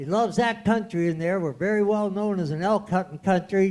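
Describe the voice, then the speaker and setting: A high-pitched male voice at a moderate pace. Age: 70s. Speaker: wild horse trainer and mentor to the riders. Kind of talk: panel discussion with audience.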